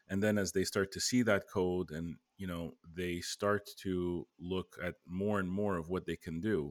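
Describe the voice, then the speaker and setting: The delivery comes at a fairly slow pace with fairly even intonation. The sound is dry and close, with no echo. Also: man. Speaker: tech podcast co-host. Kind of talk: casual chat.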